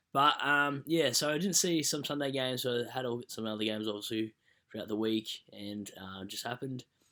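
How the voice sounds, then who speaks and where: A man with an Australian accent speaks very fast in a bright, sharp tone at medium pitch. His pitch varies in an ordinary way, and the recording is very clean with a silent background. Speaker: fantasy football YouTuber. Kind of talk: casual video review.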